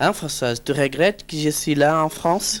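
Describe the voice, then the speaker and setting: A man with a Brazilian accent speaks at a moderate pace. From Brazil, Fortaleza (Ceará). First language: Portuguese (speaking French). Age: 30s. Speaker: interviewee, family member. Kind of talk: casual home video interview. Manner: halting, hesitant.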